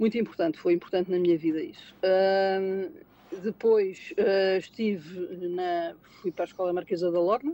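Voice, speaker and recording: A woman's dark, mellow tone at medium pitch, moderate pace and ordinary pitch variation. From Portugal, Lisbon. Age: 60s. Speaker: retail manager and auditor. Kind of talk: interview conversation. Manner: halting, many repetitions and fillers.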